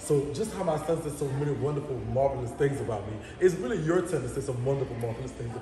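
Amid audible room echo and noticeable background noise, a man with a fairly high pitch talks at a very fast pace with ordinary pitch variation. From New Orleans, Louisiana (7th Ward). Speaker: social media personality. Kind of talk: casual chat. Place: home room.

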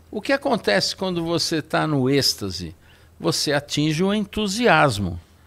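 This man speaks with very wide swings in pitch. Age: 70s. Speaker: wine expert; guest. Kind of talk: casual chat. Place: studio. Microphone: studio mic.

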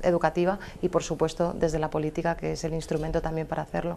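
Her intonation is monotone and flat. The woman has a dark, mellow tone and a fairly low pitch. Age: young. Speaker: primary teacher and local councillor; primary teacher, local councillor. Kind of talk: televised debate. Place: studio. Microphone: lapel.

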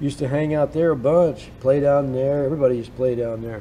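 In a room with audible echo, a man with an American accent talks at a fairly quick pace with fairly even intonation. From US Pacific Northwest (Bremerton, Washington). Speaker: songwriter and musician. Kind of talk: casual interview storytelling.

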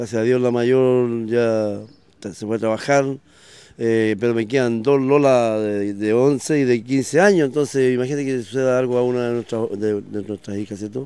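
A man's dark, mellow tone at medium pitch, with fairly even intonation, a moderate pace, and a dry sound with no echo. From Chile, O'Higgins region (Quinta de Tilcoco); O'Higgins, Chile. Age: 40s. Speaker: local politician. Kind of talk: interview. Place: street. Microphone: handheld.

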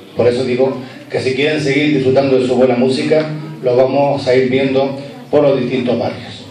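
Over light background noise and audible room echo, a man talks at a moderate pace and medium pitch in a monotone, flat delivery. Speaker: event presenter, master of ceremonies. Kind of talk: formal event presenting. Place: hall.

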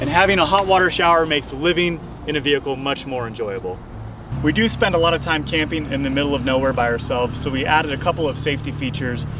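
Speaking at a very fast pace with ordinary pitch variation, a man sounds dry with no echo, though noticeable background noise is present. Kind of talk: tour walkthrough. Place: street.

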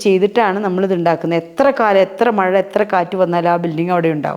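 A woman's plain, everyday voice at a medium pitch. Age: 50s. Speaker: social worker. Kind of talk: interview.

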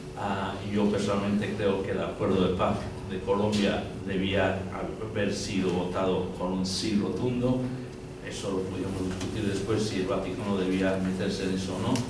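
Over noticeable background noise and audible room echo, a man with a very deep, low voice speaks at a moderate pace. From Spain and England. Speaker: journalist and writer. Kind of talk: panel discussion. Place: hall.

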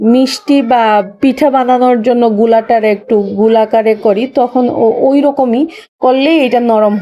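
Her voice is fairly high-pitched with a dark, mellow tone, and this woman shows ordinary pitch variation. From Bangladesh, Sylhet. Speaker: video blogger. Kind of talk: casual vlog tutorial.

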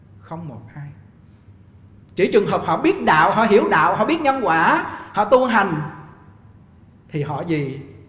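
With audible room echo, a man speaks at a fairly slow pace and a high pitch, his pitch swinging very widely and his speech broken by long, frequent pauses. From Vietnam. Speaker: Buddhist monk teacher. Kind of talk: Dharma talk lecture. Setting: temple hall, live streamed online. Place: hall. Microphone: podium.

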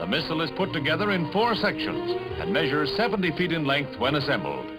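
A man talks fairly quickly while music sits in the background. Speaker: newsreel narrator. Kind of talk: vintage newsreel narration.

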